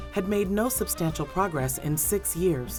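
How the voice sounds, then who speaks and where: A woman talks at a moderate pace while music runs in the background. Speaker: documentary narrator. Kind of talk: documentary narration.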